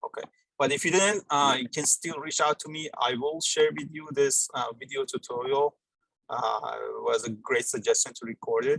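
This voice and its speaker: A man's voice at a moderate pace, with big swings in loudness, in a dry, close sound with no echo. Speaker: university lecturer running a GIS workshop. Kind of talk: live software tutorial. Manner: hesitant, many fillers.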